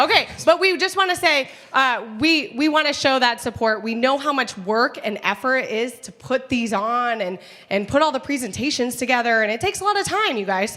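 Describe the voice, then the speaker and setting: A woman with a high pitch speaks in a raised, projected voice at a fairly quick pace, her tone animated and her pitch swinging very widely. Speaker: event host. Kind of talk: live event hosting. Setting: stage with audience. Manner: loud.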